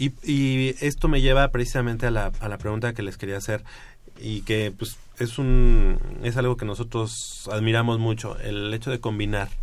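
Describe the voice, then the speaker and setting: At a fairly slow pace, a man talks with fairly even intonation in an ordinary speaking voice. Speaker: radio sports host. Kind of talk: sports talk radio. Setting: radio studio.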